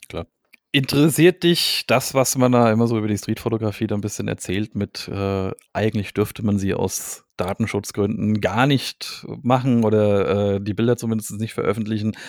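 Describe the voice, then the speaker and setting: A man with a normal speaking voice talks at a moderate pace, his pitch fairly low with ordinary pitch variation. The recording is very clean with a silent background, dry and close with no echo. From Hesse, Germany (Gelnhausen). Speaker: podcast host, photographer. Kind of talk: casual chat.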